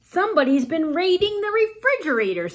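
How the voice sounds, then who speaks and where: Using a put-on character voice, a woman talks at a fairly quick pace with extremely high pitch. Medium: read story.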